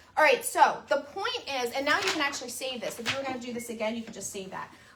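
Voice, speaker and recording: A woman's high-pitched voice with ordinary pitch variation amid noticeable background noise. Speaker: crafting tutorial host. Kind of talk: tutorial. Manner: loud.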